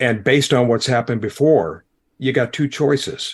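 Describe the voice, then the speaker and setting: With an American accent, a man uses a normal speaking voice at a moderate pace. His pitch is medium with ordinary variation, over a quiet background. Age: 60s. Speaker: former pastor, podcaster. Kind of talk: podcast interview.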